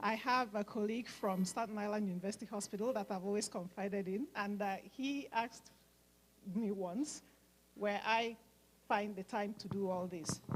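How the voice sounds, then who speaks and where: A woman speaks at medium pitch and a moderate pace with fairly even intonation. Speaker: nurse and medical mission organizer. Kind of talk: speech at fundraising event.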